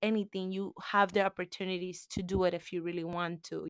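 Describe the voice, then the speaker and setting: A woman with a Spanish accent and medium pitch speaks at a fairly quick pace, recorded very cleanly with a silent background and a dry, close sound with no echo. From Cuba. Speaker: interviewee. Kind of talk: interview.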